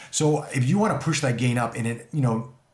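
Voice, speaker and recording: Audible room echo surrounds a man's voice. He speaks at a fairly quick pace with ordinary pitch variation. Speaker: tech reviewer. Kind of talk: product review tutorial. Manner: loud. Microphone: room echo, untreated room.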